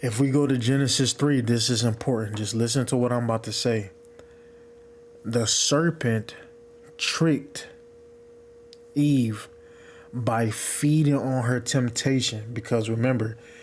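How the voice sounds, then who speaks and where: Quiet and at a fairly slow pace, a man talks at medium pitch with fairly even intonation amid noticeable background noise. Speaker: religious video maker. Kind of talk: religious teaching monologue. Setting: at home, partner sleeping in room. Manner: quiet, low volume.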